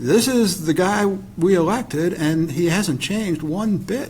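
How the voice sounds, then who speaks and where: Noticeable background noise and audible room echo surround a man's voice. He talks at a fairly slow pace with ordinary pitch variation. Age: 60s. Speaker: political scientist. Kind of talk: panel discussion.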